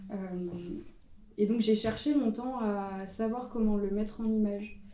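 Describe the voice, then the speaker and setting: A woman with a fairly high pitch and a dark, mellow tone speaks at a fairly slow pace. Her intonation is monotone and flat, and audible room echo is present. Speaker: photographer. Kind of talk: panel discussion. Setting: stage with audience. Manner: loud.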